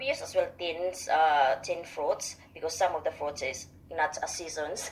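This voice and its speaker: A woman speaks fairly slowly while music plays underneath. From Philippines, Visayas. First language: Visayan. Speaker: radio interview guest. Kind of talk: radio interview. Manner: halting.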